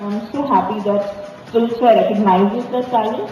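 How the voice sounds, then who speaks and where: A speaker with a South Indian accent talks at a fairly quick pace. Noticeable background noise runs underneath. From India, Mumbai. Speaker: film actor. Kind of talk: press interview.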